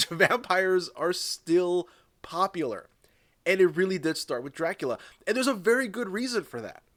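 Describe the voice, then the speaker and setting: On a very clean recording with a silent background and a dry, close sound with no echo, a high-voiced man speaks at a moderate pace with lively intonation and big swings in loudness. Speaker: video essayist. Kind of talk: video essay. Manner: casual, with fillers.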